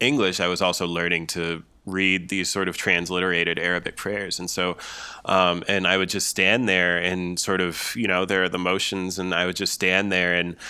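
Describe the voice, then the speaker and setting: Here is a man with a very deep, low pitch and a bright, sharp tone. He talks at a moderate pace. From American Midwest. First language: Farsi. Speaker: poet. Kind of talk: casual chat. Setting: video call.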